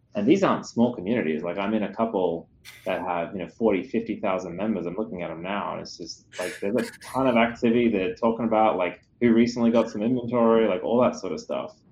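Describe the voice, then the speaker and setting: Talking at a very fast pace, a man with an Australian accent speaks at a medium pitch with ordinary pitch variation. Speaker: security company CEO. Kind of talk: interview.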